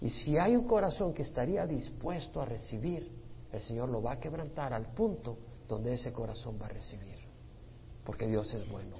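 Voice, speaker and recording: With audible room echo around him, a man talks at a moderate pace and medium pitch, his intonation lively. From El Salvador. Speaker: pastor. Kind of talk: Bible study teaching.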